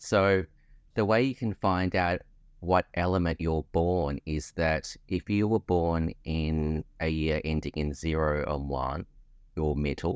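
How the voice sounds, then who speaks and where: A very deep, low male voice in an Australian accent, very slow in pace, with ordinary pitch variation, dry and close with no echo, against a quiet background. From Australia, Melbourne. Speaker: artist and textile designer. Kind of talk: interview, casual chat.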